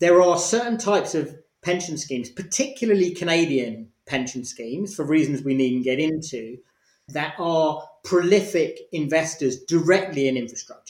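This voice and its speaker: A man speaks at a moderate pace in an ordinary speaking voice, pitched fairly high. His intonation is lively. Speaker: author. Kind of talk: interview.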